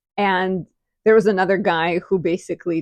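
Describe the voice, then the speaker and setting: Over a quiet background, a woman with a non-native accent speaks at a moderate pace and a fairly low pitch, with fairly even intonation and a dry, close sound with no echo. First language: not English. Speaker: astrologer, video creator. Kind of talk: casual vlog monologue. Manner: chatty.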